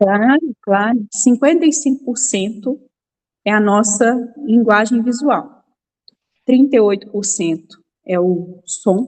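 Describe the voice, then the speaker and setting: Speaking at a very slow pace in a Minas Gerais accent, a woman with a fairly high pitch sounds somewhat breathy, with ordinary pitch variation. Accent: mineiro. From Minas Gerais, Brazil (Belo Horizonte). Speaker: image and nonverbal communication mentor. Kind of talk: talk to an online women's group.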